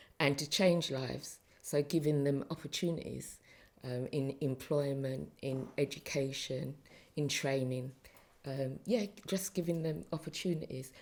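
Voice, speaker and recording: A woman with a London accent, very deep and low in pitch, with ordinary pitch variation and a fairly slow pace. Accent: London English with Caribbean heritage. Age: 60s. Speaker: retired council community safety officer. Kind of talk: interview.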